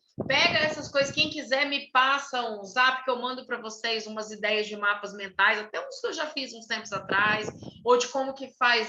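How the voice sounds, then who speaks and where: A woman with a fairly high voice talks with hardly any pauses. Noticeable background noise and audible room echo fill the recording. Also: big swings in loudness. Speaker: writer and writing workshop leader. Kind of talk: online workshop lecture.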